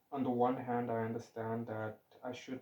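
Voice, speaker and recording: Over noticeable background noise, a man talks at medium pitch with monotone, flat intonation. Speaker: vlogger. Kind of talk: casual monologue. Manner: stuttering, loose phrasing.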